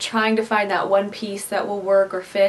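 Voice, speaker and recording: A woman speaks with an American accent at a moderate pace. Noticeable background noise runs behind her. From US Midwest. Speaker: DIY craft vlogger. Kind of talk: casual tutorial Q&A to camera. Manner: chatty, conversational.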